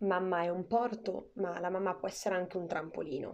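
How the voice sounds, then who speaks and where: A woman at medium pitch and moderate pace. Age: 20s. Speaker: podcast host. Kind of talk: scripted narration.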